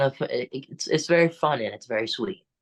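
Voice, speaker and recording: A man talks at a fairly slow pace in a normal speaking voice, with ordinary pitch variation. The sound is dry and close with no echo, over a quiet background. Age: young. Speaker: musician and actor. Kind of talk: interview answer.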